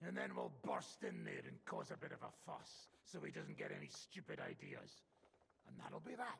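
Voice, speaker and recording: A man puts on a character voice that is raspy and very deep and low. He keeps to a moderate pace. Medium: video game. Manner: blunt, coarse.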